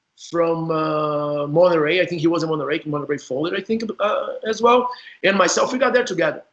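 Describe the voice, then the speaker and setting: A man with a Portuguese accent talks at a fairly quick pace in a high-pitched voice with lively intonation. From Brazil. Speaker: former indoor soccer player, interview host. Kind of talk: casual interview chat.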